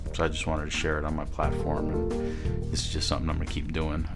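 A man at a fairly quick pace over loud background music. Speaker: podcaster. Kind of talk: motivational monologue. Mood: reflective, earnest. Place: home room. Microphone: studio mic.

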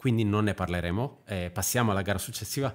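With ordinary pitch variation, a man speaks in a fairly low pitch. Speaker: podcast host. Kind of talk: casual chat. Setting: video call.

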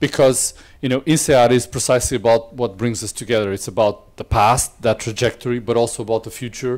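A man with a Portuguese accent at a fairly quick pace, over a quiet background. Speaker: business school dean. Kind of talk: welcome speech. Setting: stage with audience. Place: hall.

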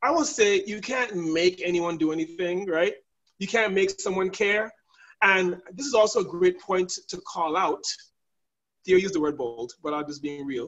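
A man's high-pitched voice with an American accent, animated in tone and lively in intonation, over a quiet background. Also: moderate pace. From US Virgin Islands (St. Thomas); US Virgin Islands. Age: 40s. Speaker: leadership trainer. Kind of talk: webinar hosting. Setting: video call. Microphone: video call.

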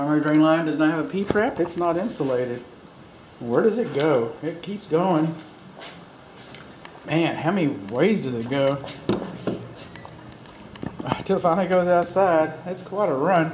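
At a moderate pace, the voice breaks into long, frequent pauses over noticeable background noise. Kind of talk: walkthrough commentary. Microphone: phone near.

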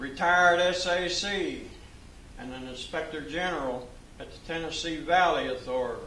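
A man with a high-pitched voice speaks at a moderate pace, with audible room echo and light background noise. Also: ordinary pitch variation. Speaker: retired FBI special agent. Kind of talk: training speech to law enforcement audience. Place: hall. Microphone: podium.

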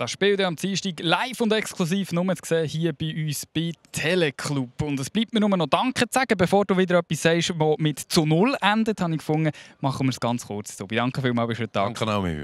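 With a Swiss accent and very wide pitch swings, the speaker goes at a fairly quick pace in a dry, close sound with no echo on a very clean recording with a silent background. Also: man, fairly high pitch for a man. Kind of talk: studio sports show presenting. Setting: TV broadcast at the stadium.

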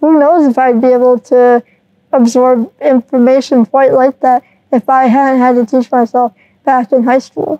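Against a quiet background with dry sound and no echo, a woman with an American accent speaks at a moderate pace in a high-pitched, dark, mellow voice, with very even loudness and fairly even intonation. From Michigan, US. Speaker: mechanical engineer; interview guest. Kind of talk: interview. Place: hall. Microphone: lapel.

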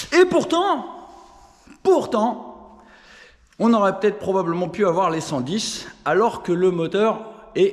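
A high-pitched man speaks at a very slow pace with long, frequent pauses. His pitch swings very widely over a quiet background. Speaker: moped tuning youtuber and shop owner. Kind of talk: casual vlog, technical testing. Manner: playful, plays with his voice. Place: garage. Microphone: phone near.

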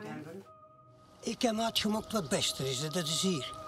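Clear music plays in the background as a man speaks at a high pitch with lively intonation. He keeps a fairly slow pace. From Flanders. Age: 70s. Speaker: documentary subject. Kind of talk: documentary interior monologue. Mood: reflective, wistful.

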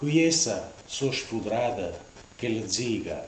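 Audible room echo and light background noise accompany a man as he speaks. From Ferentino, Italy. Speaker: dialect storyteller. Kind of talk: dialect storytelling monologue. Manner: humorous, anecdotal. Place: home room. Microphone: camera far.

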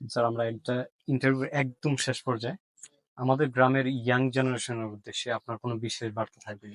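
Recorded with a dry, close sound and no echo, a man of medium pitch speaks in a monotone, flat manner. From Bangladesh, Lalpur village. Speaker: YouTube interviewer. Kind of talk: interview. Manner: formal.

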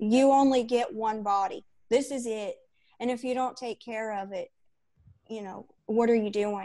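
A woman with a dark, mellow tone and fairly high pitch speaks at a moderate pace with fairly even intonation. Her loudness swings widely, with long, frequent pauses against a quiet background. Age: 40s. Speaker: fitness coaching client. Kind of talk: testimonial interview. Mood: earnest, reflective. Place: home room. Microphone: earbuds.

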